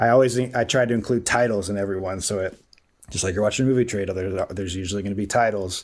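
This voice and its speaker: A man speaks at a very fast pace with an American accent, his pitch fairly low. The recording is very clean, the background silent. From US Midwest, Columbus, Ohio. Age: 30s. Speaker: sports video producer. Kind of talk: interview, casual chat. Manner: halting, many fillers.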